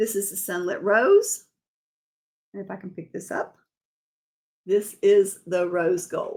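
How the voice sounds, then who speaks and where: Somewhat breathy, a woman speaks at a fairly slow pace with an animated tone and lively intonation. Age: 60s. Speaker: makeup consultant. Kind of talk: live stream makeup tutorial. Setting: live video stream. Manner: chatty, animated.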